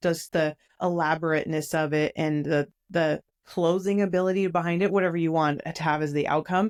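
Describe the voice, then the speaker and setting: Upbeat and enthusiastic, a woman talks at a fairly quick pace and a fairly low pitch in a dry, close sound with no echo and a quiet background. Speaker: podcast host. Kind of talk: podcast interview host. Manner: upbeat, enthusiastic.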